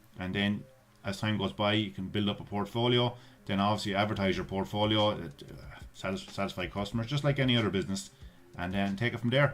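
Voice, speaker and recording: Over music in the background, a man with an Irish accent talks at a fairly quick pace in a fairly low pitch. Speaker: YouTuber giving online money-making tips. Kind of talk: screen-share tutorial. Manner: casual, with frequent fillers and repetitions.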